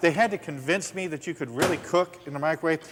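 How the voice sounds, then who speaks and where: Over noticeable background noise, a man with an American accent talks at a very fast pace in a high voice. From US Southwest. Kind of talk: infomercial demonstration. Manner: enthusiastic, folksy.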